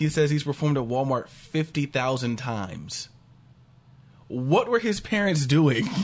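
Somewhat breathy, a man talks at a fairly slow pace with lively intonation. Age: 30s. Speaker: podcast co-host. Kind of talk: casual chat.

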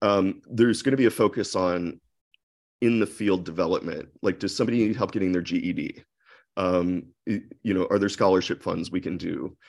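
A man speaks in a normal speaking voice with an American accent, fairly low in pitch. His pace is fairly quick and his intonation fairly even. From US Midwest (Akron, Ohio). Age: 40s. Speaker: interior designer. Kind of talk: interview podcast. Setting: video call.

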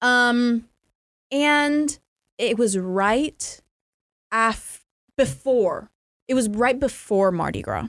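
With an American accent, the speaker goes very slowly, pausing long and often, with ordinary pitch variation on a very clean recording with a silent background. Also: woman, high pitch for a woman. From North Carolina. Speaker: storytelling podcast guest. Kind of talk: casual storytelling chat.

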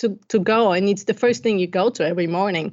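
A woman speaks with a Bulgarian accent at a moderate pace. Her pitch is medium with ordinary variation. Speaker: life coach. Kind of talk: interview.

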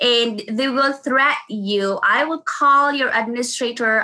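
Here a woman speaks in a Filipino accent with a bright, sharp tone. Her pace is fairly slow, with ordinary pitch variation. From Philippines (Davao City). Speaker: nurse. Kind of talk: interview. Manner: halting.

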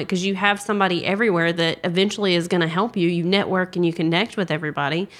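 With a Southern US accent, a woman talks at a very fast pace in a medium-pitched voice with fairly even intonation. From South Carolina, US South. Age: 20s. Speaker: paralegal. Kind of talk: casual interview. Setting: recorded at a conference.

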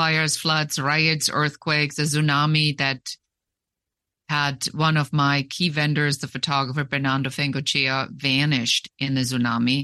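A woman talks with a German accent and a very deep, low pitch, over a quiet background. Her tone is bright and sharp, her intonation monotone and flat, and her loudness very even. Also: moderate pace. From Germany. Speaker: business consultant and former photo editor. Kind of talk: interview.

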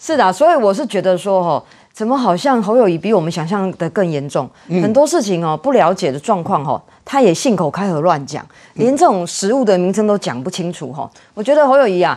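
At a fairly quick pace, a woman in a Taiwanese accent talks at medium pitch with very wide pitch swings. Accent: Taiwanese Mandarin. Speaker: city councillor. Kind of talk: political talk show panel.

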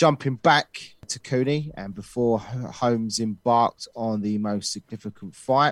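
A man of medium pitch talks at a fairly slow pace in an ordinary speaking voice, recorded very cleanly with a silent background and a dry, close sound with no echo. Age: 30s. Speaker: boxing podcast co-host. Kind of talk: scripted narration.

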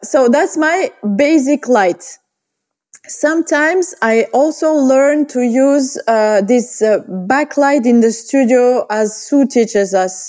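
A woman speaks very slowly in a high voice with lively intonation. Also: very even loudness. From Bulgaria. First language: Bulgarian. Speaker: portrait photographer. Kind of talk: interview. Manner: halting.

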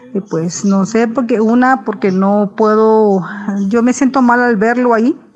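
Noticeable background noise accompanies a woman with a fairly high pitch who speaks at a fairly slow pace, with fairly even intonation and very even loudness. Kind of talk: recorded viewer question.

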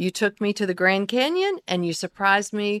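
A woman speaks at a medium pitch with a Southern US accent. The recording is very clean and dry, close-miked with no echo and a silent background. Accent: Southern American. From US South, the Carolinas. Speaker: pastor's wife and speaker. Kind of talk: casual chat.

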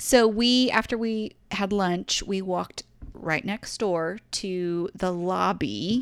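A woman with a Southern US accent talks at a very slow pace. Her pitch is medium, with ordinary variation. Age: 40s. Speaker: podcast co-host. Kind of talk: casual chat.

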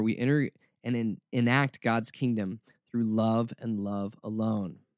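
A man with an American accent, medium in pitch, at a fairly slow pace, with a dry, close sound and no echo in a very clean recording with a silent background. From US South (Atlanta area). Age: 40s. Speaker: radio host. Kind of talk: radio talk show monologue. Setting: radio studio. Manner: sarcastic, animated.

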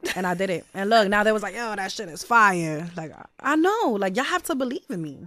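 A woman speaks at a fairly quick clip with a New York accent, her medium pitch and lively intonation running with hardly any pauses. Her loudness swings widely from moment to moment. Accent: New York City, Brooklyn. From Brownsville, Brooklyn, New York. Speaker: rapper. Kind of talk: casual interview.

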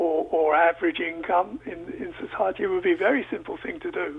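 A man speaks over noticeable background noise. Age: 70s. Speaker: economics professor. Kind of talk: radio call-in discussion. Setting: phone line. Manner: halting.

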